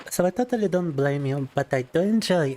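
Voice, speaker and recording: Over noticeable background noise, a man speaks at a moderate pace with lively intonation, the sound dry and close with no echo. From Russia. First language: Russian. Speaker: vtuber streamer. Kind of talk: casual chat. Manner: halting.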